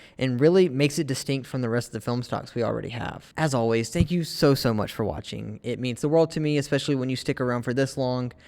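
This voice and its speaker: This very clean recording has a silent background. A man talks at a fairly quick pace in a normal speaking voice, at a medium pitch with ordinary pitch variation. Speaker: film photography YouTuber. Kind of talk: casual vlog review. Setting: outdoors in cold weather.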